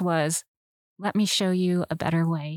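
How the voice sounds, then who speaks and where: In a very clean recording with a silent background, a woman with a West Coast US accent sounds dry and close, with no echo. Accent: General American, West Coast. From Southern California. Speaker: biblical counselor, former psychologist. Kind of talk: interview, personal testimony.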